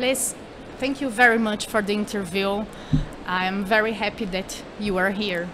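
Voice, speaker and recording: Over noticeable background noise, a woman speaks with a Portuguese accent and fairly even intonation. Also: moderate pace. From Brazil. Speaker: event show host. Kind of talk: live interview. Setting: studio at a live trade fair. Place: hall. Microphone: studio mic.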